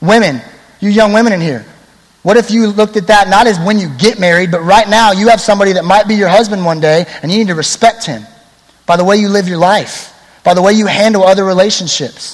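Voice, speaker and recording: Amid noticeable background noise, a man with a high pitch speaks at a very fast pace. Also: ordinary pitch variation. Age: 20s. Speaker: youth pastor. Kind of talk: sermon. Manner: casual, conversational.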